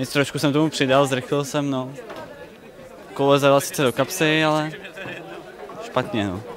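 A medium-pitched man speaks with fairly even intonation amid faint background noise, including faint crowd noise.

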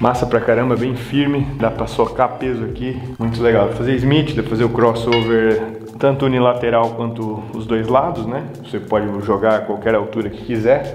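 A man's monotone, flat delivery at a moderate pace with hardly any pauses, amid audible room echo and light background noise. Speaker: fitness vlogger. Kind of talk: casual vlog chat, tour. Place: gym. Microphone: phone near.

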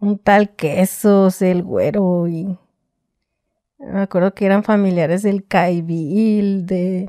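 Against a quiet background, a woman speaks at a very slow pace in a dark, mellow tone with monotone, flat intonation. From Mexico, Tijuana. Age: 30s. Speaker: former prisoner telling her story. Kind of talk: interview testimony. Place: studio. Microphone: studio mic.

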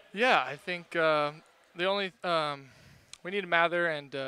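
Relaxed and bright, sharp in tone, a man speaks with fairly even intonation in a dry sound with no echo. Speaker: volleyball player, interviewed. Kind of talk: post-match interview. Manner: brief, casual, relaxed. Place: hall. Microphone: headset.

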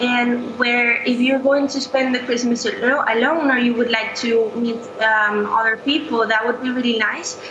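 The voice is monotone and flat, with noticeable noise in the background. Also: woman. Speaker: international student. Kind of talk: casual interview. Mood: warm, friendly. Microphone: video call.

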